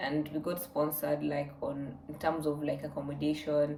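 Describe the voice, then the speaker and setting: Soft-spoken and monotone, a woman talks in a very deep, low voice with flat intonation, and audible room echo surrounds her. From Kenya. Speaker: vlogger. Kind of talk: casual Q&A vlog.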